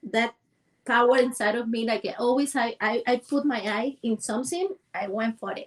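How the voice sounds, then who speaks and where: Speaking in a Cuban accent, a woman has a high pitch. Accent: Cuban Spanish, rural small-town. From rural central Cuba, Villa Clara. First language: Spanish. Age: 40s. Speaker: dancer and movement coach. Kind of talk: interview. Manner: halting.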